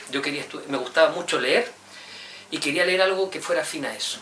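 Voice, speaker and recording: A high-pitched man with a Chilean accent at a very fast pace, ordinary pitch variation, noticeable background noise and audible room echo. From Chile, Santiago. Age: 30s. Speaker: university professor. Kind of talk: interview. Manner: hesitant, with repetitions.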